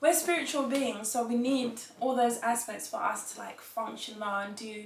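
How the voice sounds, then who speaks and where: Against noticeable background noise, a woman with an English accent speaks at a fairly slow pace and fairly high pitch, her loudness swinging widely. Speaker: fitness entrepreneur. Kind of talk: interview answer. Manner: casual, chatty.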